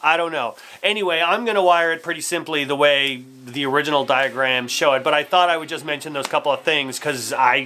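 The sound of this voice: The man has a fairly high pitch and a bright, sharp tone. He talks at a moderate pace with ordinary pitch variation.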